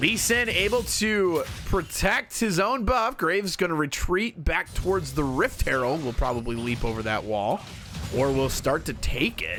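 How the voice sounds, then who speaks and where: Music plays behind a man talking in an energetic tone with very wide pitch swings. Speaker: League of Legends shoutcaster. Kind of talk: esports shoutcasting demo, play-by-play commentary. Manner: fast-paced, energetic.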